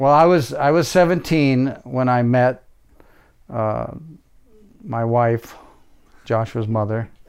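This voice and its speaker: With an American accent, a man speaks at a very slow pace, leaving long, frequent pauses, at medium pitch with ordinary pitch variation. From US Midwest, military family, Missouri. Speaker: host's father. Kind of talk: interview.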